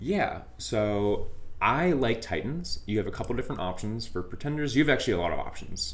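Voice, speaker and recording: A man's fairly quick, medium-pitched speech with very wide pitch swings and audible room echo. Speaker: game streamer. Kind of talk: casual gameplay commentary. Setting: live stream.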